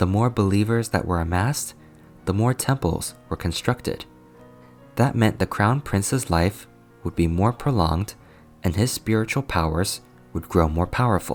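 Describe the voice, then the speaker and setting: Music plays in the background as the speaker talks at a moderate pace with ordinary pitch variation and long, frequent pauses. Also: man, fairly low pitch for a man. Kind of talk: fantasy novel narration. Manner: soft, relaxing.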